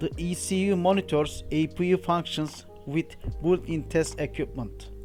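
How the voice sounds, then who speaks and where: Over music in the background, a man with a non-native accent speaks at a fairly slow pace. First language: not English. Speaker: aircraft APU technician and engineer. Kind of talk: technical training narration.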